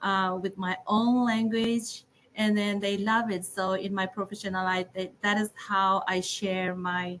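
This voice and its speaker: With a Burmese accent, a woman talks at a fairly slow pace and medium pitch in a monotone, flat intonation. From Burma. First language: Zomi. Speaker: preschool teacher and student. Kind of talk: panel discussion. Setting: video call.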